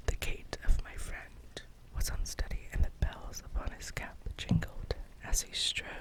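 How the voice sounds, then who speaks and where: Over noticeable background noise, the whispering moves along very slowly. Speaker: ASMR reader. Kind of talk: read story, bedtime. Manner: whispered.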